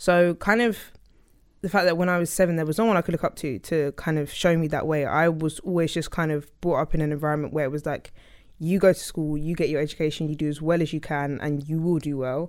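A woman with a London accent, very deep and low-pitched, at a very fast pace with fairly even intonation, on a very clean recording with a silent background. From South London, England. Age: 20s. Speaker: interdisciplinary designer. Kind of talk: interview.

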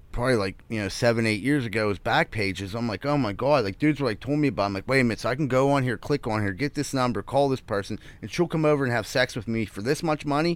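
With a Pittsburgh accent, a man talks at a very fast pace in a medium pitch, with hardly any pauses. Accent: Western Pennsylvania (Pittsburgh). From Pittsburgh, Greenfield. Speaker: comedian. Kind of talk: casual chat.

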